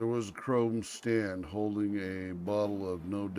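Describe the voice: Fairly even intonation throughout plain reading aloud.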